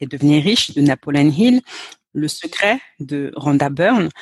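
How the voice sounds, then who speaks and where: A woman's very deep, low voice comes through dry and close with no echo. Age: 30s. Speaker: sales and mindset coach. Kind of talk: casual interview.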